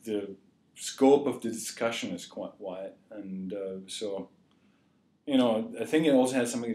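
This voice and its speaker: This man has a dark, mellow tone and an East German accent. He talks at a moderate pace. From East Germany. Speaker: journalism graduate student. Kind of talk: interview answer.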